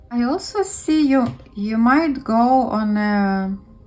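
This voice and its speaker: Over music in the background, a woman speaks very slowly with lively intonation and a fairly high pitch. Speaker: tarot reader. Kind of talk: intuitive reading to camera.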